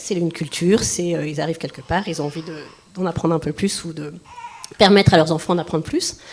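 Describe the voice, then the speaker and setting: Noticeable background noise sits behind a woman's voice. She has a fairly low pitch and fairly even intonation. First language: Breton (speaking French). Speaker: parent at bilingual school. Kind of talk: panel discussion. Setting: public forum with audience.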